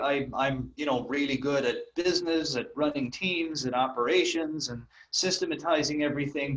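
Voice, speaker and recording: The speaker talks at a moderate pace with an Irish accent. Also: man. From Ireland. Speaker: copywriter and marketer. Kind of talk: interview. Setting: call.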